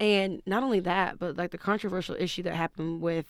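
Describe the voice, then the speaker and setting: The delivery uses fairly even intonation. It is a plain, everyday voice. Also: woman. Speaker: college basketball player. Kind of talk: casual interview chat.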